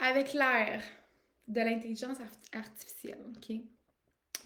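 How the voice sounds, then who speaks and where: Speaking at a fairly slow pace, a woman with a fairly high voice keeps a monotone, flat intonation. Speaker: life coach. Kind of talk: live stream monologue. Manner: casual, with many fillers.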